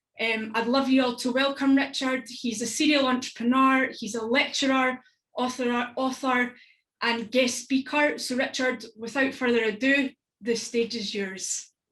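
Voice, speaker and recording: With a strong Scottish accent, a woman speaks at a moderate pace, her high pitch held in fairly even intonation. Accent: thick Stirling Scottish. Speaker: event host. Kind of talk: online event facilitation.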